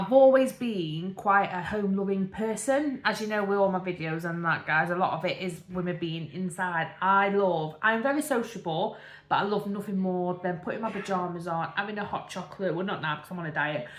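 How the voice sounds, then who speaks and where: With audible room echo, a woman talks at a fairly quick pace in a medium pitch with ordinary pitch variation. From English Midlands, Derbyshire area. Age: 30s. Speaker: vlogger. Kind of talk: casual chat. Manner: rambling, filler-heavy.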